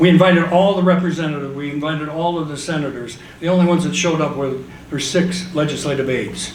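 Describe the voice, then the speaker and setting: A man's fairly high, fairly evenly intoned voice at a very fast pace, with noticeable background noise and audible room echo. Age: 70s. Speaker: tax reform activist. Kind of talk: panel discussion remarks. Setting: conference panel with audience.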